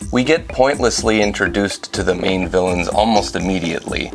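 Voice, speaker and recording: Noticeable background noise runs throughout. The talking is fairly quick. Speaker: video reviewer. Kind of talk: movie recap and review narration. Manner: sarcastic, playful.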